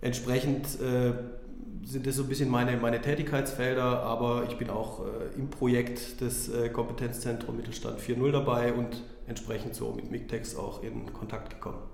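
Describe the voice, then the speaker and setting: Over noticeable background noise and audible room echo, a man talks at a moderate pace in a monotone, flat intonation. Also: medium pitch for a man. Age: 30s. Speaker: business development consultant. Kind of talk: casual interview.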